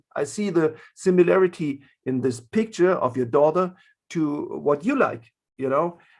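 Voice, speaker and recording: A man with a German accent and lively intonation on a very clean recording with a silent background. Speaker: art therapist in prisons. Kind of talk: panel discussion. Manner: halting, many fillers.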